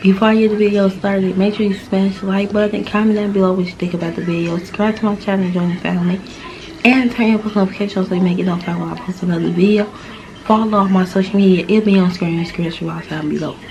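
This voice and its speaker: A woman at medium pitch, very fast and monotone with flat intonation, over noticeable background noise. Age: 20s. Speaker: vlogger, stay-at-home mom. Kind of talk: casual vlog Q&A.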